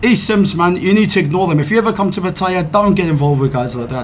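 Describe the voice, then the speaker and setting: A man talks at a fairly quick pace with ordinary pitch variation, amid audible room echo and noticeable background noise. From South Africa, Cape Town. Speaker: vlogger. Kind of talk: casual rant vlog. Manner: animated.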